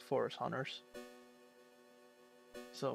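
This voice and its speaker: Mumbling at a fairly slow pace over music in the background. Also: man. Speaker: gamer doing let's play commentary. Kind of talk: video game walkthrough commentary. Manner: mumbling, slurring, long pauses.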